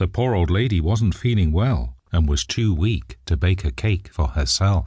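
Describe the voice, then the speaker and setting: A somewhat breathy voice with a gentle, warm, dark, mellow tone moves at a fairly slow pace with hardly any pauses, very even loudness and very wide pitch swings. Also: man, very deep, low pitch for a man, quiet background. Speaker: audiobook narrator. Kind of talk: bedtime story narration, scripted reading aloud of a fairy tale. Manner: gentle, warm, storyteller pacing with a lightly animated tone for the child's lines; clear and measured, suited to young children.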